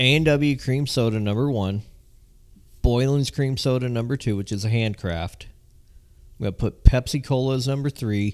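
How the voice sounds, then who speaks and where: Here is a man with a plain, everyday voice at medium pitch and an American accent. He talks at a moderate pace with ordinary pitch variation. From Southern California. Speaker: podcast co-host. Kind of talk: casual chat.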